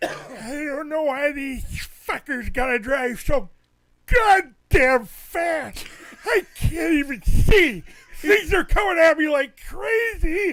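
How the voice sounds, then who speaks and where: A man's put-on character voice, extremely high-pitched and grumpy in tone, at a very slow pace. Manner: grumpy, complaining.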